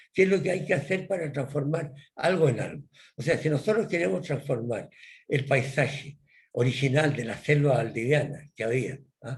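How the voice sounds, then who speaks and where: A man speaks at a moderate pace in a fairly high pitch for a man, his somewhat breathy voice carrying lively intonation over audible room echo. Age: 80s+. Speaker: professor. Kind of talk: lecture. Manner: halting.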